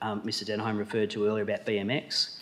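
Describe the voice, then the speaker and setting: Speaking in an Australian accent, a man holds a medium pitch. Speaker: shire president chairing council meeting. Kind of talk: council meeting debate speech. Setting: council chamber with public gallery. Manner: halting with fillers.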